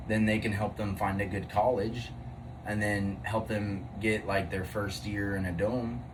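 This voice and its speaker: A man talks at a fairly slow pace in a fairly low, somewhat breathy voice with ordinary pitch variation. Audible room echo surrounds him. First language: not English. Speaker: podcast co-host. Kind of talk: casual chat. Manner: halting.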